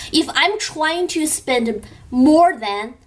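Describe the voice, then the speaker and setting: A woman speaks very slowly with a Chinese accent. Her pitch swings very widely. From China. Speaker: beauty youtuber. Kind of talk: vlog. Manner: animated.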